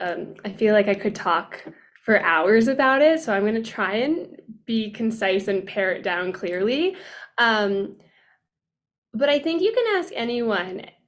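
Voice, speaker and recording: In an American accent, a woman with an unremarkable speaking voice talks at a fairly slow pace, her fairly high pitch carried by lively intonation. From Pennsylvania, US. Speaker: dance educator. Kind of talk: podcast interview.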